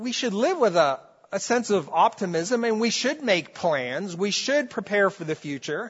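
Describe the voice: At a fairly slow pace, a man with a high pitch and a slightly husky edge speaks with big pitch swings.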